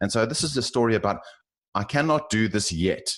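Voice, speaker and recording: A man with a South African accent talks at a moderate pace. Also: quiet background. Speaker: finance professional. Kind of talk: interview. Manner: halting, many fillers and repeats.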